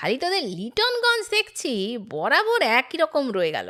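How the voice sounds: This clip carries a natural reading voice.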